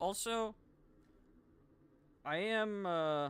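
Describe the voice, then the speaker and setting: This man talks loudly. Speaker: gaming streamer. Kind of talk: casual live stream chat. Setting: home, live stream.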